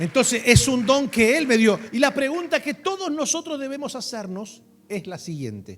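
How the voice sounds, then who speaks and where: With an animated tone and extremely high pitch, a man talks at a moderate pace, his intonation lively and his loudness swinging widely, against noticeable background noise. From Argentina. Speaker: pastor. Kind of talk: sermon.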